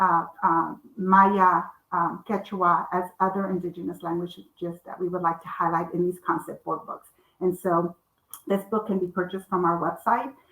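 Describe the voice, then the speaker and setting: Speaking at a moderate pace with a Spanish accent, a woman keeps her fairly low voice flat and monotone. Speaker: children's author and publisher. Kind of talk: author talk. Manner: halting, many fillers.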